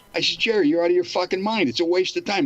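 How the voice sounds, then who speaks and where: Over noticeable background noise, a man's pitch swings very widely. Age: 80s+. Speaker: author and former church member. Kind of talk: interview.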